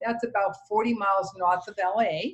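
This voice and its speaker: A woman with a slight Massachusetts accent. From Massachusetts, Boston area. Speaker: real estate agent. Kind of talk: casual chat.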